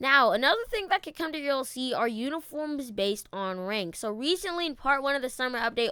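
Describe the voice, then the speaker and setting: A woman projects her raised voice at a high pitch with a bright, sharp tone, very wide pitch swings and a fairly quick pace, in a very clean recording with a silent background. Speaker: gaming youtuber. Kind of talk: casual gaming commentary. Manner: fast.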